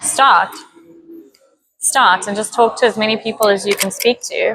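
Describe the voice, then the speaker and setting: At a moderate pace, a woman with a fairly high pitch keeps a fairly even intonation. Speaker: interior designer, entrepreneur. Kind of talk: casual interview. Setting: business hub. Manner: loud.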